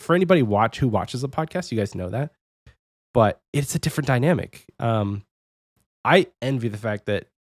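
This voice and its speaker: Soft-spoken, a man talks at a fairly quick pace and medium pitch with lively intonation, broken by long, frequent pauses. The sound is dry and close, with no echo. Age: 30s. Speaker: podcast host. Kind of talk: casual chat. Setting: home office, remote recording. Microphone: talks very close to microphone.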